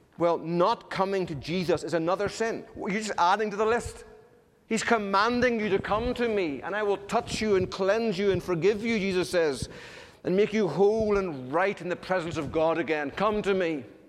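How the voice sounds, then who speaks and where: Ordinary pitch variation marks this voice with an Irish accent. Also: man, high pitch for a man, moderate pace. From Ireland. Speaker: pastor. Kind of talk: sermon.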